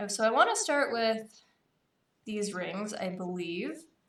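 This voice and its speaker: Audible room echo surrounds a woman speaking at a very slow pace. Her pitch is medium, with ordinary variation. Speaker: streamer crafting chainmail. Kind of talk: casual live-stream tutorial.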